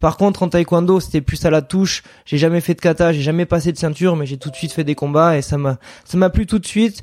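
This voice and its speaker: Delivered at a very fast pace, the speech keeps a fairly even intonation. The recording is very clean, with a silent background. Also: man. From southwestern France, Landes. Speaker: professional mountain bike rider. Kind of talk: casual interview. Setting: at his home training ground.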